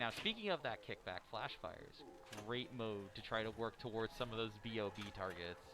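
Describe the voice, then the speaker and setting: An unremarkable speaking voice from a man, medium in pitch, at a moderate pace with ordinary pitch variation. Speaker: pinball commentator. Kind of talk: live commentary. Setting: tournament venue with a game playing in the room.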